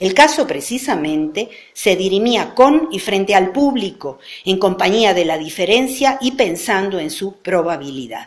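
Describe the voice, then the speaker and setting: Moving at a fairly slow pace, a woman's voice makes very wide pitch swings over noticeable background noise. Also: medium pitch for a woman. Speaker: professor. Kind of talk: lecture.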